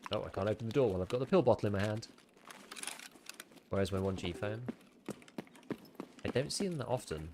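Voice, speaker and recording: Amid noticeable background noise, a man with a fairly low pitch speaks at a very fast pace with lively intonation and long, frequent pauses. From United Kingdom. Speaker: gaming streamer. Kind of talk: livestream gameplay commentary. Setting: livestream.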